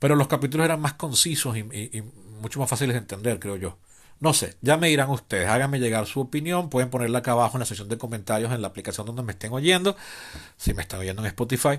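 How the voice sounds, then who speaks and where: Against a quiet background, a man talks very fast at a medium pitch, his intonation lively. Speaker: podcast host. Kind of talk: improvised solo podcast monologue.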